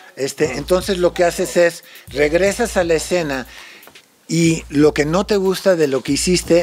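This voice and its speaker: A man with an English accent, fairly high pitch, ordinary pitch variation and a fairly slow pace, over noticeable background noise. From United States. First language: English (speaking Spanish). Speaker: musician and songwriter. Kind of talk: casual chat.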